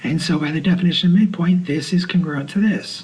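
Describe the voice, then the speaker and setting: A soft-spoken man's voice, high-pitched for a man, at a moderate pace. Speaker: math teacher. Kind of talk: lecture. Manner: halting.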